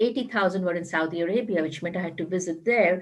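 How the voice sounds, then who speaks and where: A woman speaks fairly quickly with a strong Indian accent. Her pitch is fairly low and her intonation fairly even. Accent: Indian, still strong. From India, Mumbai. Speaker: corporate HR executive. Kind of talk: panel discussion.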